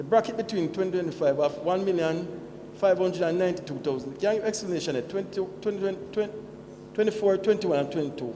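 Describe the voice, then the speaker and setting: A man rushes along at a very fast pace with a high pitch amid noticeable background noise. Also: ordinary pitch variation. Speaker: shareholder at annual meeting. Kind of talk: question at meeting.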